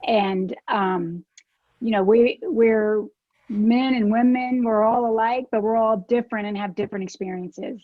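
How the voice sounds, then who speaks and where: A woman talks at a fairly slow pace with a slight Alabama accent. Her pitch sits fairly high, and her intonation stays fairly even. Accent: faint Alabama. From US South, South Alabama. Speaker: political advocate and lawyer. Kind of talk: informal talk.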